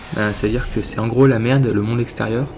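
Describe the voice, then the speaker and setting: Noticeable background noise surrounds a man's voice. He talks at a moderate pace with ordinary pitch variation. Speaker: gaming youtuber. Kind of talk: let's play commentary. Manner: casual, swears often.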